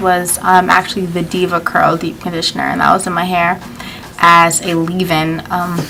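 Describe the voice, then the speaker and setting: A woman speaks at a moderate pace in a flat, monotone way, her pitch fairly low, with music playing in the background. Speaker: beauty vlogger. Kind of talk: casual vlog talk.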